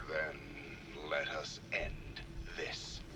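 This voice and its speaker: A man in a put-on character voice amid loud background noise. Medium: video game. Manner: calm, cool.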